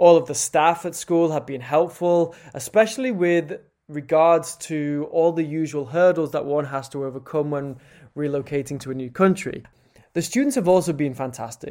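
Fairly high for a man, his voice has a dark, mellow tone, ordinary pitch variation and a moderate pace, in a very clean recording with a silent background. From UK. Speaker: English language assistant teacher. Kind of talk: prepared testimony.

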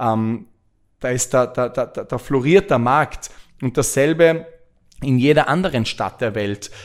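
On a very clean recording with a silent background, the voice moves at a fairly slow pace with lively intonation. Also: man. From Austria. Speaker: podcast host and real estate entrepreneur. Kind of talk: podcast monologue. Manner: hesitant with frequent filler sounds.

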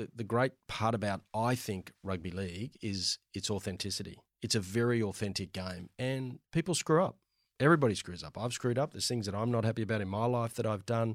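A man with an Australian accent talks at a fairly quick pace with a medium pitch and ordinary pitch variation, recorded very cleanly with a silent background and a dry, close sound with no echo. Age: 50s. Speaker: finance executive. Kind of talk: casual interview. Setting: studio.

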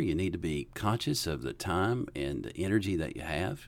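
A man with a Southern US accent speaks at a very deep, low pitch with vocal fry. The recording is very clean, with a silent background. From US South, western North Carolina. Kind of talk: casual Q&A interview.

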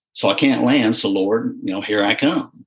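A man at a fairly quick pace, in a Southern US accent. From US South, southeast Missouri (Dexter). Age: 40s. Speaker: agricultural pilot. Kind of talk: casual interview.

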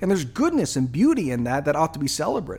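This man has a fairly high voice. His intonation is lively. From Japan. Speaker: pastor and podcast host. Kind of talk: monologue commentary on faith and culture.

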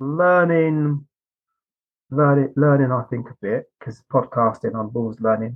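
This is a plain, everyday voice: a man at a medium pitch, speaking at a fairly slow pace with ordinary pitch variation. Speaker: podcast host. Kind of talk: casual interview chat.

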